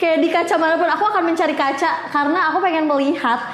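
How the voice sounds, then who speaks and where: A shrill voice amid noticeable background noise and audible room echo. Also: woman. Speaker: podcast host. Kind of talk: casual chat.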